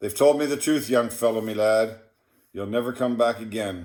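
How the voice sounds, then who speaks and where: Speaking at a moderate pace in a plain, everyday voice, a man with a Canadian accent shows ordinary pitch variation on a very clean recording with a silent background. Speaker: poetry reader. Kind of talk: reading aloud.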